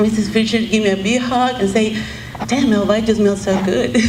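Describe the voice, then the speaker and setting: Noticeable background noise and audible room echo surround a woman who speaks with a Mexican accent and fairly even intonation. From Mexico. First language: Spanish. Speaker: mover, truck owner-operator. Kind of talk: memorial tribute speech.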